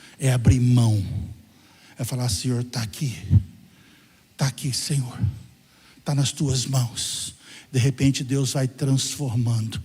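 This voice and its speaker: A man speaks at a fairly slow pace in a medium-pitched, somewhat breathy voice with ordinary pitch variation. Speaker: pastor. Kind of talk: sermon. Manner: animated.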